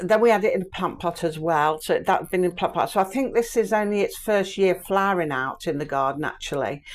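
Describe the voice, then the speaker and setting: In a very clean recording against a silent background, a woman with an English accent talks with ordinary pitch variation. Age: 60s. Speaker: vlogger. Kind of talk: garden tour vlog. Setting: outdoors in garden. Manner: casual, meandering.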